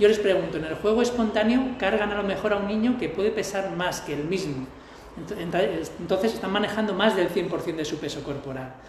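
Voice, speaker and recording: High-pitched male voice at a moderate pace with ordinary pitch variation, amid noticeable background noise and audible room echo. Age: 40s. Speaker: personal trainer. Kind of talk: casual interview.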